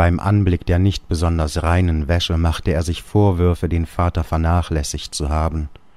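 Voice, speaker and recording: A man with a very deep, low pitch and a dark, mellow tone speaks in a monotone, flat intonation at a moderate pace with hardly any pauses. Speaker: audiobook narrator. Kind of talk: literary audiobook reading of a Kafka story.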